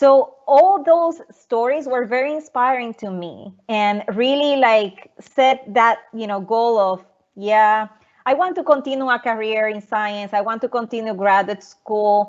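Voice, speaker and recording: Speaking at a fairly slow pace with ordinary pitch variation, a woman with a Puerto Rican accent has a fairly high pitch. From Puerto Rico, Arroyo. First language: Spanish. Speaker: research scientist. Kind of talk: presentation talk. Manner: halting, many repetitions.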